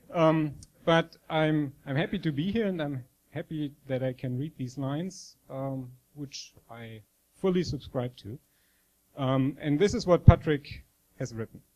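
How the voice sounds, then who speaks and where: Speaking fairly slowly with a German accent, a man uses a fairly high pitch, ordinary pitch variation and big swings in loudness. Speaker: professor.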